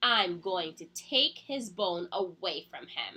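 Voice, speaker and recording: A woman's put-on character voice at a medium pitch and a fairly slow pace. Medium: read story.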